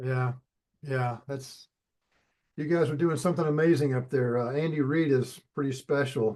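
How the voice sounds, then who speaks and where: In a plain, everyday voice, a man speaks at a moderate pace, his pitch fairly high and his intonation fairly even. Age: 60s. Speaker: sales closer. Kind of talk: sales call.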